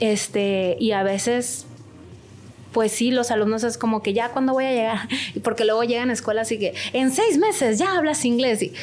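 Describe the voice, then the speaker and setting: A woman talks at a moderate pace in a fairly high voice with ordinary pitch variation and very even loudness. Hers is an unremarkable speaking voice. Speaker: language school director and translator. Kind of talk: interview.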